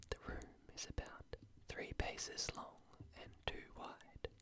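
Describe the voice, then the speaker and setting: The voice is a whisper. It moves at a very slow pace. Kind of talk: literary fiction narration. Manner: soft, whispered.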